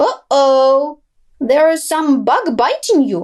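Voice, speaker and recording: A woman speaks very slowly in a squeaky, put-on character voice with a high pitch. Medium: read story.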